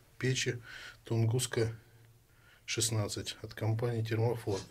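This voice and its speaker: A somewhat breathy voice comes through with light background noise. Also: man. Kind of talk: casual tutorial narration. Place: home room. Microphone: phone near.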